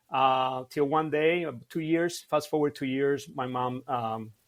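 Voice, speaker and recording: A man with a Cuban accent talks with ordinary pitch variation. The recording is very clean, with a silent background. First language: Spanish. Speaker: martial arts instructor. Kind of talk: podcast interview. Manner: halting, many fillers.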